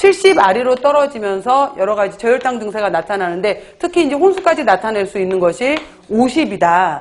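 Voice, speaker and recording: Very wide pitch swings at a fairly quick pace, with noticeable background noise. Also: woman, fairly high pitch for a woman. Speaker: exam prep lecturer. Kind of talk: lecture. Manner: fast.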